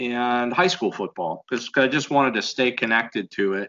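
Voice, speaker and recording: A bright, sharp tone with an American accent at a moderate pace over a quiet background. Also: man. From US, western Pennsylvania. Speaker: football coach and university teacher; football coach, university teacher. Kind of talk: casual interview. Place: home room. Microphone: video call.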